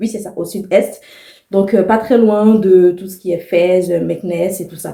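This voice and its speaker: A woman's dark, mellow voice carries fairly even intonation. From Ivory Coast, Abidjan (Abobo). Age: 30s. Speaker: vlogger. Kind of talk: personal vlog monologue. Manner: casual, hesitant with many fillers.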